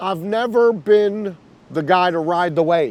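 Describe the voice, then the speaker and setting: Ordinary pitch variation in a man's speech. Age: 40s. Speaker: hip-hop A&R executive. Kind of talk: interview. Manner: casual, with filler words.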